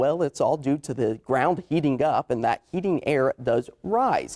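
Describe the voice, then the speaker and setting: A man with an American accent speaks at a fairly slow pace in a plain, everyday voice, his pitch fairly high and varying in an ordinary way, in dry, close sound with no echo. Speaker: television meteorologist. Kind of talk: TV weather broadcast.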